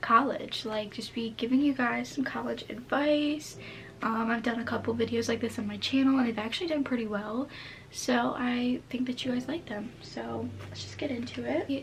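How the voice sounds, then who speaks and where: A woman's high-pitched voice with fairly even intonation, over noticeable background noise. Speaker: college lifestyle vlogger. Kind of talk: casual chat. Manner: casual, filler-heavy.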